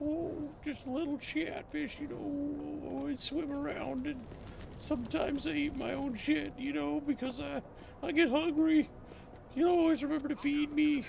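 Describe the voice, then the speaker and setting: Here a man performs a put-on character voice at a moderate pace. Clear background noise is present. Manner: mocking, goofy.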